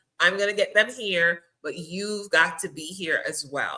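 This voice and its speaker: Bright and sharp in tone, a woman speaks at a medium pitch and a moderate pace with an animated delivery. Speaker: podcast host. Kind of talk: casual interview chat.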